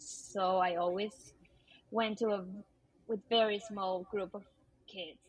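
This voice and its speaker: At a fairly slow pace, a woman with a Peruvian accent speaks at medium pitch in a flat monotone. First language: Spanish. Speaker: teacher. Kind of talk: casual interview. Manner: hesitant, many fillers.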